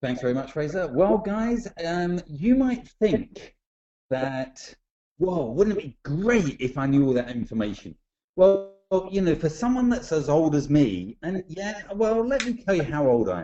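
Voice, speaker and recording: In an English accent, a man speaks at a high pitch with very wide pitch swings. His pace is fairly slow. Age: 40s. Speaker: network marketing trainer. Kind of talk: webinar presentation. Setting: online webinar. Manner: jovial.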